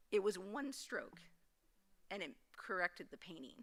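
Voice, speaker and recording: A woman with a bright, sharp tone, very wide pitch swings and a moderate pace. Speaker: painter and art teacher. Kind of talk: lecture.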